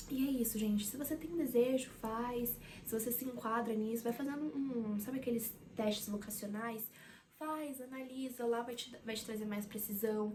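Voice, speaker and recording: In a room with audible echo, a woman talks at a moderate pace with fairly even intonation. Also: fairly high pitch for a woman. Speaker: psychology student and vlogger. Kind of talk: casual vlog talk to camera. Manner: halting, with many fillers and repeats.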